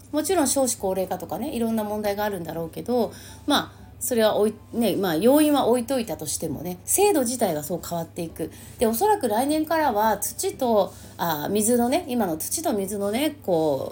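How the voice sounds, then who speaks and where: Over music in the background, a woman with a fairly high pitch speaks at a moderate pace with very wide pitch swings. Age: 50s. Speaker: astrologer. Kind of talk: casual monologue. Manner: chatty with many fillers.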